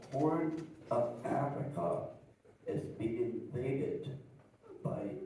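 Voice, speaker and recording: A man is talking with audible room echo. Noticeable background noise runs underneath. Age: 70s. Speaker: audience member. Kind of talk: audience question. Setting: live event with audience. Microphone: no microphone at first.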